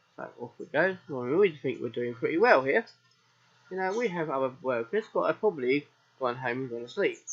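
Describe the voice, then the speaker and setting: A fairly high-pitched man with a southern English accent, fairly quick in pace, with very wide pitch swings. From southern England. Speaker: gaming streamer. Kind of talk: live game commentary. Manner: casual.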